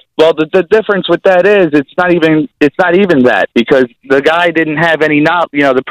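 A fairly high-pitched man with a New Jersey accent, lively intonation and a fairly quick pace, dry and close with no echo. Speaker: caller. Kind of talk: call-in political argument.

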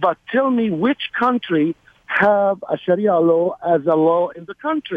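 A man's high voice with a Middle Eastern accent, fairly slow, with lively intonation. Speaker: caller, army veteran. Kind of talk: call-in radio talk. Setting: phone call.

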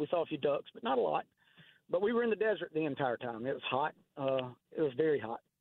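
A man with a Southern US accent talks at a very fast pace. His pitch swings very widely. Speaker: caller. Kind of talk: casual chat. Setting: phone call.

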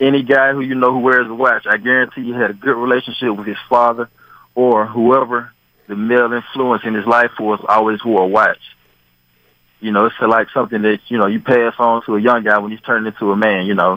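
He has a plain, everyday voice with a medium pitch. He talks at a fairly quick pace with fairly even intonation. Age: 50s. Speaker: caller. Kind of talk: casual chat.

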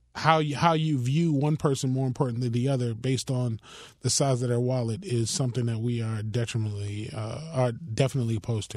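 A man with an American accent speaks at medium pitch and a very fast pace, sounding somewhat breathy, with ordinary pitch variation. The recording is very clean, with a silent background. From Miami, Florida. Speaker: politician and political director. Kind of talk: radio interview. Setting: radio studio.

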